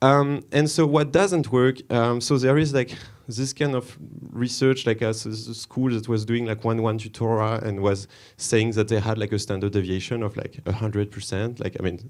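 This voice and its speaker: A man with a French accent in a very clean recording with a silent background. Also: medium pitch for a man, ordinary pitch variation, moderate pace. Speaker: conference speaker, developer relations. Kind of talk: conference talk. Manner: hesitant, many fillers.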